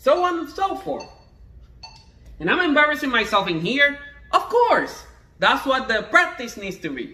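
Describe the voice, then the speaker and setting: Raising and projecting his voice, a man with a Spanish accent makes very wide pitch swings amid audible room echo. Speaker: trombone teacher. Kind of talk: tutorial. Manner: halting.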